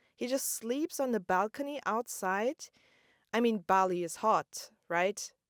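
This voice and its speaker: A woman speaks fairly slowly in a plain, everyday voice, fairly high in pitch with lively intonation. The recording is dry and close, with no echo. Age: 20s. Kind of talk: casual storytelling podcast. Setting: inside parked car.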